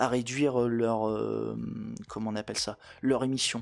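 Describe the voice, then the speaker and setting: The recording is very clean with a silent background, and a man talks at a medium pitch, keeping his intonation fairly even. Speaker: law explainer youtuber. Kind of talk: educational vlog. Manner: many hesitations (euh); casual, conversational.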